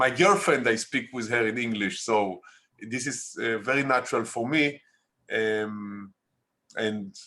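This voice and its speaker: The speaker has an Israeli accent and a fairly slow pace with ordinary pitch variation. The background is quiet. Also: man. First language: Hebrew. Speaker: documentary filmmaker. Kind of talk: interview. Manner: halting.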